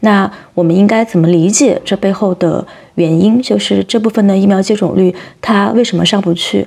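With a dark, mellow tone, a woman talks at medium pitch and moderate pace, her intonation fairly even. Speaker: podcast host. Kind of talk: interview.

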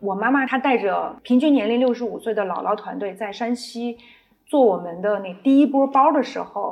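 A woman's calm, fairly high voice at a moderate pace with ordinary pitch variation. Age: 40s. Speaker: brand founder and designer. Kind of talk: interview. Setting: retail store.

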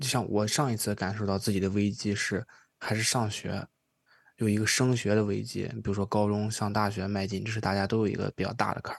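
The man has a plain, everyday voice with a fairly low pitch. He speaks at a fairly quick pace over a quiet background. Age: 20s. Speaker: podcast host. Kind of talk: casual chat.

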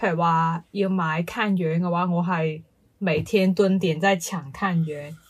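A woman speaks at a fairly slow pace with a fairly low pitch and fairly even intonation. Her voice is somewhat breathy on a very clean recording with a silent background. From Guangdong, China. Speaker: podcast co-host. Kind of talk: casual chat.

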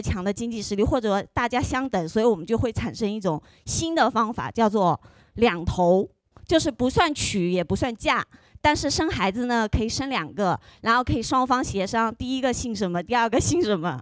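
Speaking with an ordinary speaking voice, a woman uses lively intonation at a fairly high pitch and a moderate pace, in a very clean recording with a silent background. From Huzhou, northern Zhejiang. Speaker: audience member. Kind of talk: casual chat. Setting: stage with audience.

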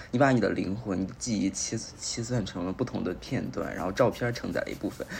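Fairly low in pitch, this man's voice makes very wide pitch swings. He is the only speaker described. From Beijing. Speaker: guest, host's friend. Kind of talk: casual chat.

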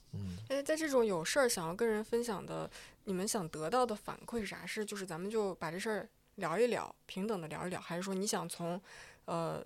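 In a very clean recording with a silent background, a woman with an unremarkable speaking voice talks fairly quickly. Her pitch is medium and her intonation lively. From eastern Inner Mongolia, in the Northeast China region. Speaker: podcast producer. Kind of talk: casual chat. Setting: office.

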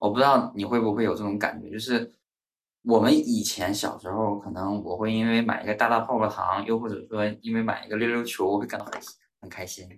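A man at a fairly quick pace, fairly even in intonation, with big swings in loudness. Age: 30s. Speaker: podcast host, business consultant. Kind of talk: casual book discussion. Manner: measured, structured.

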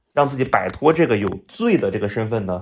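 A man at a moderate pace with lively intonation. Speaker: drone industry professional. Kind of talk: casual conversation.

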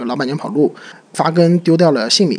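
Through noticeable background noise, a man speaks at a very fast pace with lively intonation. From Shanghai. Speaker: podcast co-host. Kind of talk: casual chat.

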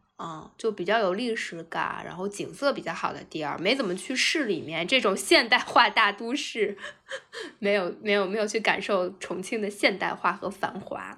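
Speaking at a moderate pace, a woman uses an animated tone, a medium pitch and ordinary pitch variation. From China, Anhui. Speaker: office worker, travel guest. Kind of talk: casual chat.

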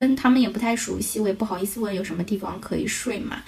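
Noticeable background noise accompanies this woman. She talks at a very fast pace. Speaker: podcast co-host; bank teller. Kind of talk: casual chat.

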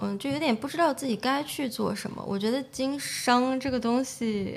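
Ordinary pitch variation and a moderate speed from an unremarkable speaking voice. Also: woman. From China, Shaanxi (Xi'an). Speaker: entrepreneur, nail salon owner. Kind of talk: interview conversation.

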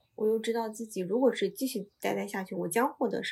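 The woman's voice sits at a fairly high pitch with vocal fry. Her intonation stays fairly even. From China. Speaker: Chinese immigrant and job seeker in Korea. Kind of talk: casual interview chat. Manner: halting, many filler sounds.

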